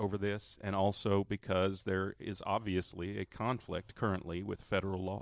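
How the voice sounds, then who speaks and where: Over a quiet background, a man with a fairly low pitch talks in monotone, flat intonation, the sound dry and close with no echo. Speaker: radio co-host. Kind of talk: casual radio conversation. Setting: live broadcast in a studio.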